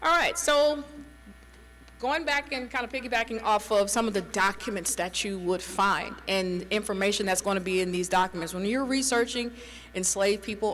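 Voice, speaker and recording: A woman speaks in a medium pitch. Noticeable background noise is present. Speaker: private historian and genealogy presenter. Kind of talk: conference presentation. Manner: halting.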